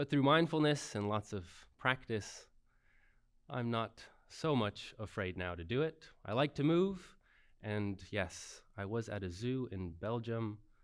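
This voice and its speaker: Speaking at a fairly slow pace with lively intonation, this plain, everyday voice has an American accent. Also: man, medium pitch for a man, very clean recording, silent background. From United States. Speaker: workplace mindfulness leader. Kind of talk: conference talk; guided meditation.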